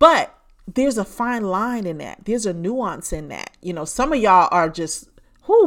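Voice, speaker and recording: This woman's tone is animated. She talks at a moderate pace. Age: 50s. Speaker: podcast host and business coach. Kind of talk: solo podcast monologue.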